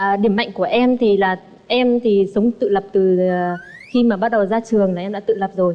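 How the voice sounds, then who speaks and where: A woman at medium pitch, fairly quick and fairly even in intonation, over noticeable background noise. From northern Vietnam, Bắc Ninh. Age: 30s. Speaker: dating show contestant. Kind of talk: TV dating show self-introduction.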